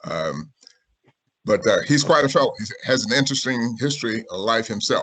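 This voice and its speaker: With a South Carolina accent, a man talks with long, frequent pauses. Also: big swings in loudness. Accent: Southern US (South Carolina). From US South, Sumter, South Carolina. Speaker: author and civil rights historian. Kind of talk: video-call talk and Q&A.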